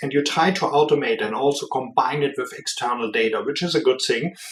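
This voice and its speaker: This man has a fairly high voice, a strong German accent, and fairly even intonation. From Germany. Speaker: business executive. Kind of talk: podcast interview.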